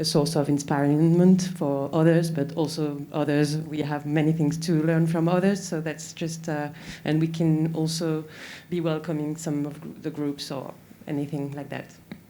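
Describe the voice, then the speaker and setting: Her voice is very deep and low, with a dark, mellow tone and monotone, flat intonation. The woman speaks at a moderate pace amid audible room echo. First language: French. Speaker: city representative. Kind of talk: panel discussion. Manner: halting, many fillers.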